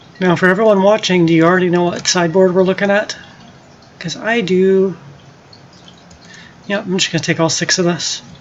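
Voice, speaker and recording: Noticeable background noise sits behind a woman speaking at a medium pitch. She talks at a fairly quick pace, with long, frequent pauses. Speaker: gaming streamer. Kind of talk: live gameplay commentary. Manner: casual, animated.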